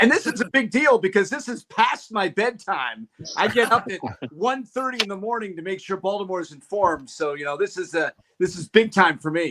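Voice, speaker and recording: With a raised, projected voice, a man speaks at a fairly quick pace, high in pitch, with lively intonation. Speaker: morning radio news anchor.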